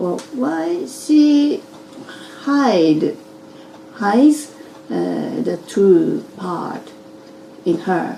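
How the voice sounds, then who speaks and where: A woman with a Japanese accent speaks at medium pitch and a very slow pace, with long, frequent pauses and very wide pitch swings. Noticeable background noise and audible room echo are present. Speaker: interviewee. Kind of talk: interview. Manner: halting.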